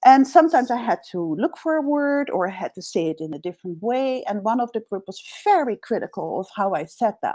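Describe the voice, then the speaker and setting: A woman with a Dutch accent speaks at a fairly quick pace with hardly any pauses, her fairly high voice dark and mellow in tone, swinging very widely in pitch and greatly in loudness. The recording is very clean with a silent background, and the sound is dry and close with no echo. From Netherlands. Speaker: executive coach. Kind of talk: interview conversation.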